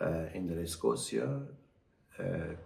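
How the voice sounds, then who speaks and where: Through audible room echo, a man with a very deep, low pitch and vocal fry speaks in a dark, mellow tone with ordinary pitch variation. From Brazil. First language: Portuguese (speaking Spanish). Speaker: doctor. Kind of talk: interview. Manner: halting.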